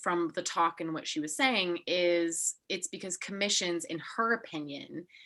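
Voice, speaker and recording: Over a silent background in a very clean recording, a woman with an American accent speaks at a moderate pace in a fairly low, bright, sharp voice with ordinary pitch variation. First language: German (bilingual with English). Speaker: podcast host, art historian. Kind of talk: casual interview chat.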